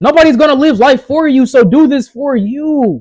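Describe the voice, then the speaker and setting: A loud, passionate male voice at an extremely high pitch. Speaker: motivational vlogger. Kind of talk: motivational talk.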